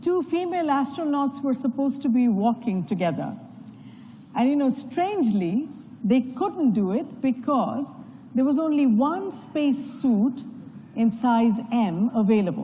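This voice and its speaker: Over noticeable background noise, a woman speaks at a fairly slow pace and a high pitch, with very even loudness and lively intonation. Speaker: panel moderator. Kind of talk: panel moderation speech. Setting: conference stage with audience.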